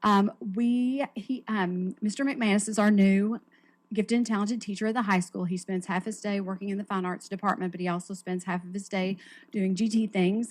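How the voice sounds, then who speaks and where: A woman's somewhat breathy voice at a medium pitch, fairly quick in pace, with fairly even intonation. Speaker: school gifted program coordinator. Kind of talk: staff report at school board meeting. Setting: school board meeting. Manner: fast.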